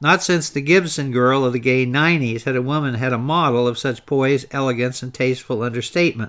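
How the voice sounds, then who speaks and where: At a fairly quick pace with hardly any pauses, a man with an American accent has an ordinary speaking voice, medium pitch and fairly even intonation. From Baltimore, Maryland. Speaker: history podcast host. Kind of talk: 1960s documentary narration, read aloud from a script. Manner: measured, formal, rhythmic, polished delivery.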